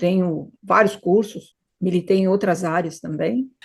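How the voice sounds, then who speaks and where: Speaking at a very slow pace, a woman with a Brazilian accent sounds somewhat breathy, with ordinary pitch variation. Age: 70s. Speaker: hypnotherapist. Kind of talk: interview conversation.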